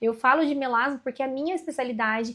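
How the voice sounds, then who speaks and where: A woman speaks with a high voice. Her pace is fairly quick and her intonation fairly even. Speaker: aesthetic nurse and course instructor. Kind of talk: live webinar Q&A. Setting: online livestream. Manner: fast.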